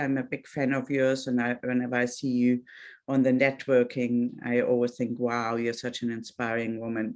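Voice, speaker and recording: A woman with a German accent, very deep and low-pitched, at a moderate pace over a quiet background. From Germany. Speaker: Pilates instructor and life coach. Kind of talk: talk to online audience. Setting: video call. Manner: halting.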